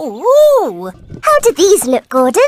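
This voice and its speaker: The cartoonish character voice is pitched extremely high. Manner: bright, excitable.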